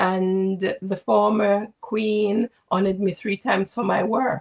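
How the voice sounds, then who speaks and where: With a medium pitch, a woman speaks at a very slow pace in a monotone with flat intonation and very even loudness, with a dry, close sound and no echo. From Jamaica, St. James. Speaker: executive coach and former nurse leader. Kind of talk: interview.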